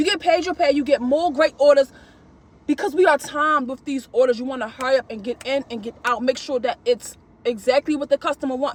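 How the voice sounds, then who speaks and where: The speech is loud. It moves at a fairly quick pace. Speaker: gig delivery shopper vlogger. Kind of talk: casual vlog monologue. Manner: animated.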